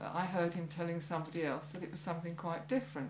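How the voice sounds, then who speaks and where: The speech comes very fast in a monotone, flat delivery, with audible room echo and noticeable background noise. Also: woman. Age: 70s. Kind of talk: testimony.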